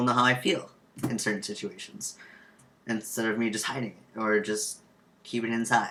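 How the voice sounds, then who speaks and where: A loud man at a fairly quick pace, his pitch medium. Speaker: vlogger sharing transition update. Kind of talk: casual vlog monologue. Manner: hesitant, many ums.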